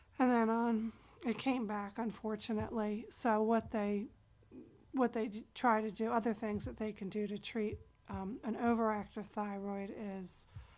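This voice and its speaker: A woman talks at a moderate pace in a fairly high pitch, her intonation monotone and flat. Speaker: patient sharing her illness story. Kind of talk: personal testimony. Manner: hesitant with fillers.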